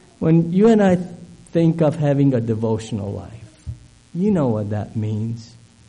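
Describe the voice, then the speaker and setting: A man at medium pitch and moderate pace, very wide pitch swings, long and frequent pauses, and noticeable background noise. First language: not English. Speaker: guest preacher. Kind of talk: sermon. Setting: church. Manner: halting with fillers.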